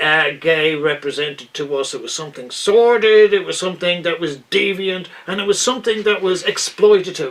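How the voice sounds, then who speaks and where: This man speaks with an Irish accent. His pace is moderate and his pitch variation ordinary. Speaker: interview host. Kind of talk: interview questions.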